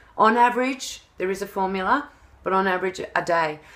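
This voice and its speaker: A woman speaks in a fairly low pitch with ordinary pitch variation. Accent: Australian. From Australia. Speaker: health and wellness coach. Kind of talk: tutorial. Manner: animated; fast.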